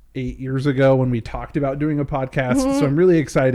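Ordinary pitch variation marks the speech. It is delivered in a natural reading voice.

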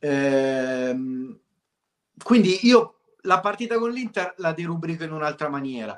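With big swings in loudness and very wide pitch swings, a man of fairly high pitch speaks at a very slow pace, pausing long and often. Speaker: co-host football fan. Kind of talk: heated casual chat.

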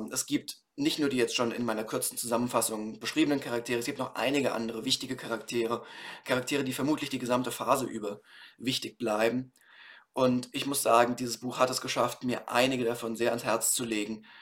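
Very fast and monotone, a man talks with flat intonation at a medium pitch. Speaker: podcast host reviewing books. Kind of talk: solo book review.

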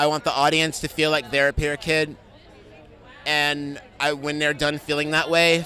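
A man with an American accent and a fairly high pitch, crowd noise in the background. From New York City. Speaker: documentary filmmaker. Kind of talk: red carpet interview.

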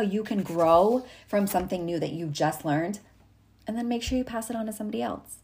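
A woman with a somewhat breathy, medium-pitched voice speaks at a fairly quick pace in an upbeat tone with ordinary pitch variation, in a very clean recording with a silent background. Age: 30s. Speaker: podcast host, entrepreneur coach. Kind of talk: solo monologue, motivational tips. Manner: casual, upbeat.

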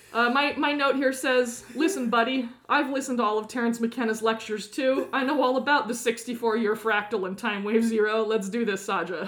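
Noticeable background noise sits behind a woman speaking at a moderate pace. Her fairly high voice has ordinary pitch variation. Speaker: podcast co-host. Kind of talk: casual chat.

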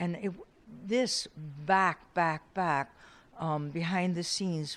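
The speaker has an American accent and an ordinary speaking voice. Pace is moderate, with ordinary pitch variation. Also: woman. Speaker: photographer. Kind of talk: interview.

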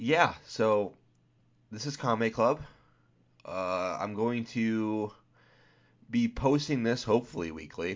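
A man speaks at a very slow pace in a medium pitch, with ordinary pitch variation and long, frequent pauses. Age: 20s. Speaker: podcast host. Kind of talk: solo podcast monologue. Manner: halting, many fillers.

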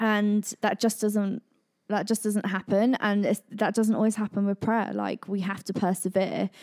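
On a very clean recording with a silent background, a woman of medium pitch speaks at a moderate pace in a monotone, flat intonation. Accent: West Country. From Devon, England. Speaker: church team member, parent. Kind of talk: casual chat.

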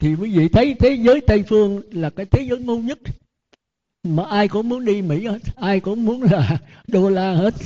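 Dark and mellow in tone yet high in pitch, a man speaks at a moderate pace with ordinary pitch variation. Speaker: Buddhist monk. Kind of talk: sermon. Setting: temple.

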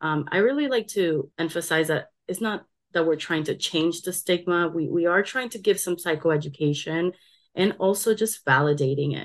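A woman with an American accent has a normal speaking voice, fairly low in pitch with ordinary pitch variation. The background is quiet. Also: moderate pace. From Colombia, then South Florida from age eight. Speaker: counseling graduate student. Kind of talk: interview.

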